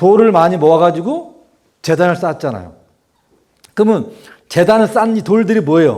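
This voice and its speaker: Audible room echo surrounds a man with a high pitch and a dark, mellow tone. He uses ordinary pitch variation and takes long, frequent pauses. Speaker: preacher. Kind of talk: Bible study sermon. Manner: fast; animated.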